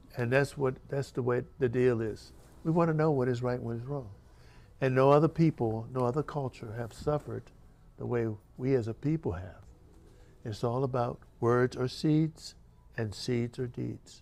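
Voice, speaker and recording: Music plays behind a man speaking at a moderate pace with long, frequent pauses. His medium pitch varies in an ordinary way. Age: 80s+. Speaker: author, former marine. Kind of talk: book talk.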